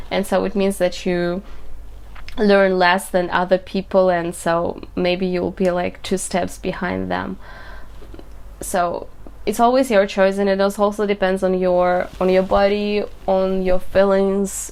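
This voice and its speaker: A woman with a Russian accent speaks fairly slowly at a medium pitch in a flat monotone. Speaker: coding student vlogger. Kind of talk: video diary. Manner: halting.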